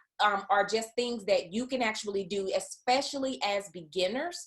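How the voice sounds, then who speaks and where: Speaking with fairly even intonation, a woman talks with a Southern US accent. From US South. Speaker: business coach. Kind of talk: online masterclass presentation. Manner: casual with frequent fillers.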